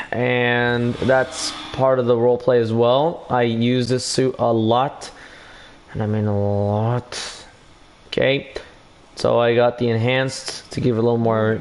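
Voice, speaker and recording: Over noticeable background noise, a man talks at a fairly slow pace and medium pitch in a monotone, flat way. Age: young. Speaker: gaming livestreamer. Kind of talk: casual livestream chat. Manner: halting.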